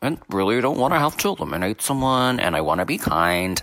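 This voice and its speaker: A man talks at a fairly quick pace with an Irish accent. His tone is bright and sharp, and his intonation is lively. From Ireland. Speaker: listener caller. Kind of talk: voicemail.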